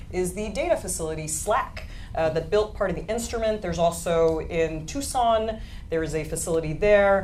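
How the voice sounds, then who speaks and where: Amid noticeable background noise and audible room echo, a woman speaks at a fairly quick pace with ordinary pitch variation. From France. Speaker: astronomy presenter. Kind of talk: live science panel presentation. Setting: live show with studio audience.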